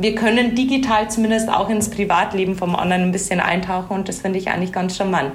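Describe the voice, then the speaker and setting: Talking at a very fast pace with hardly any pauses and fairly even intonation, a woman is heard amid noticeable background noise and audible room echo. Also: medium pitch for a woman. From Bavaria, Regensburg. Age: 30s. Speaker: HR manager. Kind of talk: casual interview.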